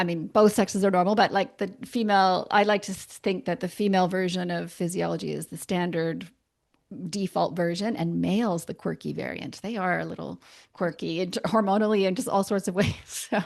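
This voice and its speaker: With a Canadian accent and some vocal fry, a woman speaks at a fairly quick pace in a medium pitch with fairly even intonation against a quiet background. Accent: Canadian, persistent. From Canada. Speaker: naturopathic doctor. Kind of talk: podcast interview. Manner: casual, hesitant with fillers.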